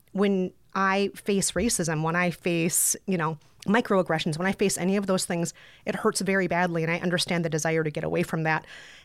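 A woman with a plain, everyday voice and an American accent speaks at a fairly quick pace in a fairly low pitch, her intonation fairly even and her loudness very even, in a very clean recording with a silent background. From Brooklyn, US. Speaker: podcaster and author. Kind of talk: casual interview chat.

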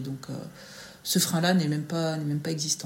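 A woman is speaking. Her voice is very deep and low. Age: 40s. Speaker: school staff member and mother. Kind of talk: interview, casual chat. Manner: hesitant, many fillers.

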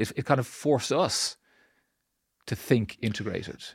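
In a Dublin accent, a man speaks at a medium pitch and a moderate pace. The recording is very clean, with a silent background. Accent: Irish (Dublin). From Ireland, Dublin. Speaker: central bank regulator. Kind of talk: podcast interview. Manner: halting, many repetitions.

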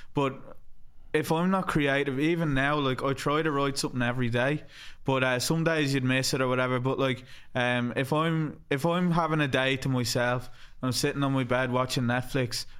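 With an Irish accent, a man speaks at a moderate pace, with fairly even intonation and very even loudness. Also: medium pitch for a man. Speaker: podcast host. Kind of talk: casual chat.

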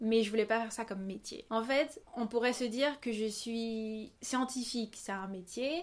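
This woman has a plain, everyday voice, fairly high in pitch, with ordinary pitch variation. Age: 20s. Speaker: singer and dancer. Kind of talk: interview. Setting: at the host's home on a couch.

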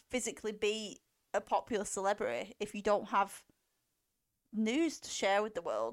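A woman with an English accent and a fairly high pitch, at a moderate pace with ordinary pitch variation, on a very clean recording with a silent background and a dry, close sound with no echo. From England. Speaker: film podcast co-host. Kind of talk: casual chat.

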